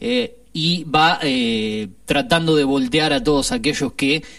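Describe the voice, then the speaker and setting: Fairly high in pitch, a man's voice makes very wide pitch swings. He keeps a fairly slow pace. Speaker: film and series columnist. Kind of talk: radio column with recommendations.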